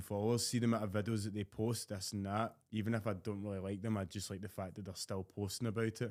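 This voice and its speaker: The voice moves at a very fast pace. Its intonation is monotone and flat. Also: man. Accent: Scottish. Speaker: fitness content creator. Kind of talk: casual chat.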